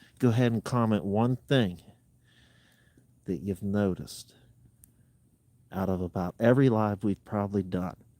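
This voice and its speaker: At a moderate pace, a man talks in a dark, mellow tone with ordinary pitch variation, the sound dry and close with no echo. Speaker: outdoor adventure streamer. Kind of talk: casual live stream chat. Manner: quiet, speaking lower.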